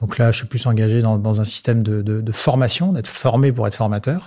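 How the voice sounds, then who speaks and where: Speaking at a moderate pace, a man has an unremarkable speaking voice, a medium pitch and ordinary pitch variation. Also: very clean recording, silent background. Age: 50s. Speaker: marketing director. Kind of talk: interview.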